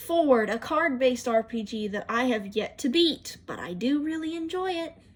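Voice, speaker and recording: A woman's high-pitched voice at a moderate pace. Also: lively intonation. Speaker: YouTuber showing phone apps. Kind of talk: casual video walkthrough. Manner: odd, unnatural tone.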